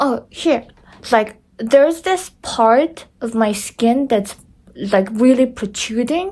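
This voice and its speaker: At a very slow pace, a woman speaks in a high pitch with a dark, mellow tone. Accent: non-native. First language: not English. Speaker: vlogger sharing surgery recovery. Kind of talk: casual vlog, personal experience. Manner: halting, many restarts.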